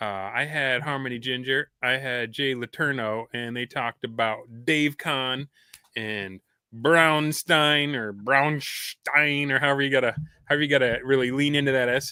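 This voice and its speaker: A man's ordinary speaking voice, medium in pitch, with fairly even intonation and a moderate pace. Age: 40s. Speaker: podcast host. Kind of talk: casual chat.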